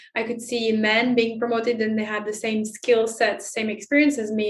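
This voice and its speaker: Fairly high female speech in a French accent, with fairly even intonation. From France. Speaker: inclusion expert and author. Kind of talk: interview.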